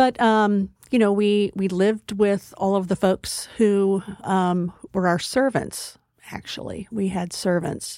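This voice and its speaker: Someone speaks very slowly with an American accent. The tone is dark and mellow, the intonation fairly even. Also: woman, medium pitch for a woman. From Texas. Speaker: community college president. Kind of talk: interview.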